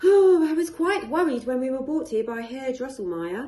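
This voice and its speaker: This woman uses a put-on character voice pitched high. She talks at a moderate pace. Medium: read story. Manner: fast, chattering.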